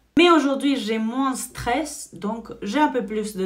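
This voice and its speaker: A woman's animated tone and lively intonation at a moderate pace, over noticeable background noise. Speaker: beauty vlogger and salon owner. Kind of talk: makeup tutorial with personal chat.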